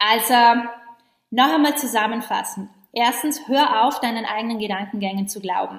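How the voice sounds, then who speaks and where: A woman's fairly high voice at a moderate pace, with ordinary pitch variation and long, frequent pauses. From western Austria, Vorarlberg. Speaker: podcast host, online business coach. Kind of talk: recorded live training, motivational talk. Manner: animated.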